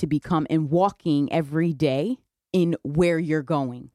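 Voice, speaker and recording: A fairly slow woman's voice with a Connecticut accent, fairly low in pitch, dark and mellow, dry and close with no echo, in a very clean recording with a silent background. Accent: US Northeast (Connecticut). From New Haven, Connecticut. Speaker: police detective. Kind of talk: radio interview.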